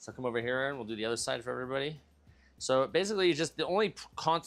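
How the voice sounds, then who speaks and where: With music in the background, a man with a fairly high pitch speaks using lively intonation. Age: 40s. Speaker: base jumper. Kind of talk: live stream tutorial. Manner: casual.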